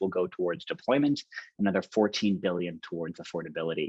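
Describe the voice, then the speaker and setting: A man is speaking. His pace is fairly quick. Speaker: professor and author. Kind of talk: webinar presentation. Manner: fast.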